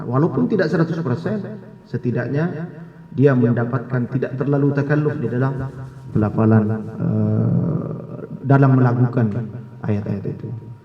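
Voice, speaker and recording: Against noticeable background noise, a man speaks at a moderate pace with medium pitch and ordinary pitch variation. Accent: Madurese. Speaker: Quran recitation lecturer. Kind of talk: scholarly discussion talk.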